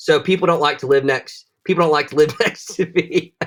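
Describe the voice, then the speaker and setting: A man speaks at a fairly quick pace in a Southern US accent. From US South, northwest Florida. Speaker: bladesmith. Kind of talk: casual chat. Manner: animated.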